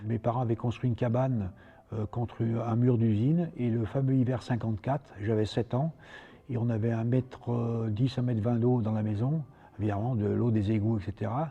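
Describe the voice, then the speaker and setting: A man speaks at a moderate pace with a medium pitch and a dark, mellow tone. His voice is somewhat breathy, with fairly even intonation. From France, Lyon. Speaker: karate teacher and former world champion. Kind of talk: interview testimony; martial arts class instruction.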